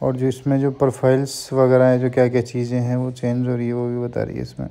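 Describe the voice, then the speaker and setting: Monotone, flat intonation marks this man's speech. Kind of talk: tutorial. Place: street. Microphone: phone near.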